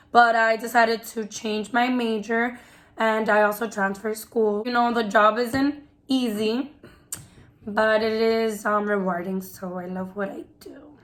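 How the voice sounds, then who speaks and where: In an American accent, a woman with a normal speaking voice talks at a fairly slow pace and a fairly high pitch, with fairly even intonation and big swings in loudness. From New York (Queens), Dominican family. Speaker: preschool teacher, vlogger. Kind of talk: casual chat.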